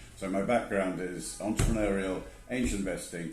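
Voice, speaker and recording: With a British accent and a very deep, low pitch, a man talks at a fairly quick pace with ordinary pitch variation, and room echo is audible. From England. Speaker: angel investor. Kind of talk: interview.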